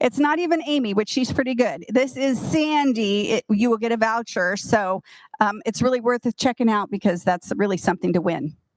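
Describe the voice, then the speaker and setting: Here a woman speaks in an ordinary speaking voice at a fairly high pitch, with lively intonation and a moderate pace. The sound is dry and close, with no echo. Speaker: retirement community staff presenter. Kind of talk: community meeting announcements.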